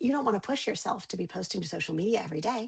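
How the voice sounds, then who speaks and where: Lively intonation marks this woman's medium-pitched voice. Vocal fry is present in her delivery. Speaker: communications consultant. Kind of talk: webinar presentation. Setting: video call. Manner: fast.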